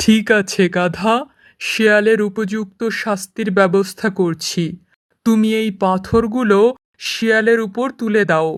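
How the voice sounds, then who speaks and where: A cartoonish character voice with a fairly high pitch, delivered at a fairly slow pace. The recording is very clean, with a silent background. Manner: authoritative, stern.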